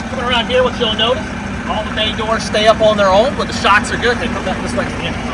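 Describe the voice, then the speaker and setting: A loud voice speaks at a very fast pace in a monotone, flat intonation. Room echo is audible, along with noticeable background noise. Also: man, high pitch for a man. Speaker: bus salesman. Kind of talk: sales walkaround tour. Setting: outdoors on a gravel lot. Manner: casual, with fillers.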